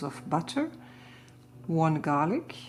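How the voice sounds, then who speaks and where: A woman speaks with a German accent in a very deep, low voice. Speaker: gardening and crafts vlogger. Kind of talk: casual reading and explaining recipes. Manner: halting, searching for words.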